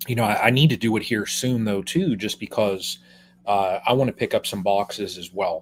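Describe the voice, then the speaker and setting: A man speaks at a moderate pace in an unremarkable speaking voice, with medium pitch and ordinary pitch variation, on a very clean recording with a silent background. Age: 50s. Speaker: beekeeper. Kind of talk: casual chat.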